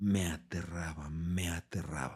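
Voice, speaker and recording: This voice belongs to a man. There is a somewhat breathy quality to it. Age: 50s. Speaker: coach and coma survivor. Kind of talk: testimony.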